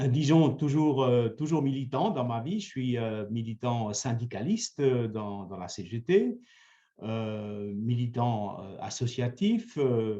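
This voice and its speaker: The tone is dark and mellow, with ordinary pitch variation. Delivery comes at a very slow pace. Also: man, medium pitch for a man. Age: 70s. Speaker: mayor. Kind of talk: interview. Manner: hesitant, many fillers.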